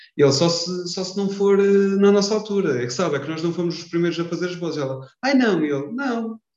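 Speaking with hardly any pauses, a man uses a high-pitched voice with lively intonation. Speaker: podcast host. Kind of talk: casual chat. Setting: wearing a mask.

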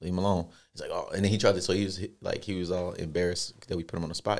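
On a very clean recording with a silent background, the voice runs at a very fast pace with monotone, flat intonation. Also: man. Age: 20s. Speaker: podcast co-host. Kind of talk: casual chat.

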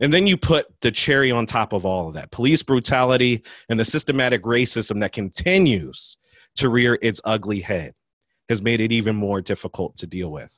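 A plain, everyday voice with lively intonation moves at a moderate pace. The sound is dry and close with no echo, over a quiet background. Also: man, medium pitch for a man. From US, West Philadelphia. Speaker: college admissions administrator and podcast host. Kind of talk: speech to an audience.

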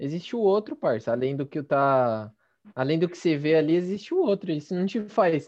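A man with an unremarkable speaking voice, fairly high pitch, lively intonation and moderate pace, over a quiet background. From East Zone of São Paulo, Brazil. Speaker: podcast host. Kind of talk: casual chat.

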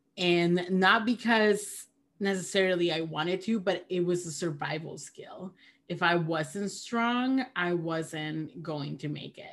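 A woman with a Spanish accent, fairly low pitch, ordinary pitch variation and a fairly slow pace. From Peru. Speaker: theologian and podcaster. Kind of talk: casual conversation.

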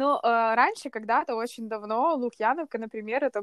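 A woman's ordinary speaking voice, ordinary pitch variation and moderate pace, dry and close with no echo, on a very clean recording with a silent background. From Kyiv, Ukraine. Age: 20s. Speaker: runner. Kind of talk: casual chat.

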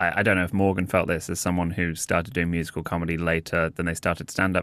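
Heard in a very clean recording with a silent background, a man with a British accent has a very deep, low pitch and a bright, sharp tone. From England. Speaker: comedian and freestyle rapper. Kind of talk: casual chat.

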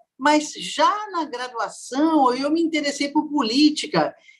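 Her pace is very slow. The woman speaks in a high pitch. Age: 60s. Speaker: social scientist, violence researcher. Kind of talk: interview conversation.

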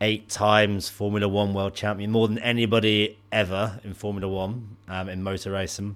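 With a Bristol accent, a man talks at a moderate pace in a monotone, flat intonation. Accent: West Country English (Bristolian). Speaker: podcast co-host. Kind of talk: casual chat between friends.

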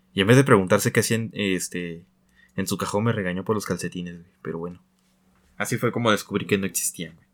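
A man with a fairly low pitch and fairly even intonation talks at a fairly quick pace yet leaves long, frequent pauses, in a very clean recording with a silent background. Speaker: podcast co-host. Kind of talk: casual chat. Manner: casual, slangy.

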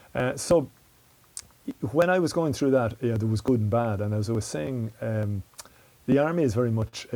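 With an Irish Midlands accent, a man talks at a very fast pace in a dark, mellow tone of medium pitch with ordinary pitch variation. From Ireland, County Westmeath. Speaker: security and defence analyst, former soldier. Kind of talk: interview.

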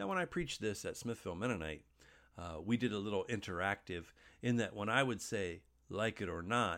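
An ordinary speaking voice from a man with a fairly low pitch, moving at a moderate pace with ordinary pitch variation. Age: 50s. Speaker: pastor. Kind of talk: sermon.

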